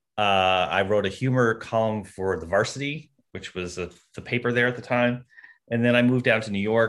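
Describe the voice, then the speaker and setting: In a normal speaking voice, a man talks at a moderate pace and medium pitch. His intonation is fairly even, and the background is quiet. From Canada (rural Ontario). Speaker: TV comedy writer. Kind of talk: interview.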